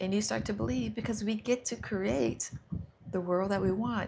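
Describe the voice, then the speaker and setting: A somewhat breathy woman's voice with an American accent and very wide pitch swings. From United States. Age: 60s. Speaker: self-help livestreamer. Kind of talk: guided visualization on a livestream. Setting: live stream. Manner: slow and soothing.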